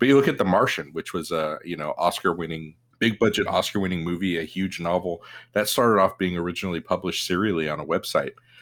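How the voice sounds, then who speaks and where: Speaking very fast, a man with a very deep, low pitch and ordinary pitch variation comes through in a very clean recording against a silent background. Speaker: podcast co-host. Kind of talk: casual chat. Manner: joking.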